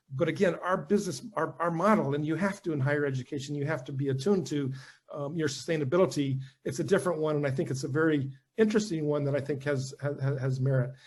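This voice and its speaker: A man talks at a very fast pace with an American accent. His voice is fairly high and somewhat breathy, with ordinary pitch variation. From US South. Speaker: university head and former diplomat. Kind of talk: talk followed by Q&A. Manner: halting with many repetitions.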